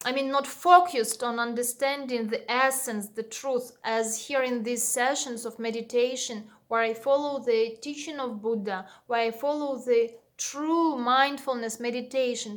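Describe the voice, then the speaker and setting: A woman speaks with a non-native accent at a fairly slow pace. Her pitch is high and her intonation fairly even. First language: Russian. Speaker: meditation teacher and vlogger. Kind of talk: personal channel overview monologue. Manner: hesitant, frequent fillers.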